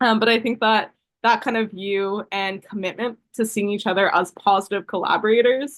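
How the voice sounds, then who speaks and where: A woman speaks in a fairly high voice with fairly even intonation. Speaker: panel guest, entrepreneur. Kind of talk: panel discussion. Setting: video webinar. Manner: fast; direct.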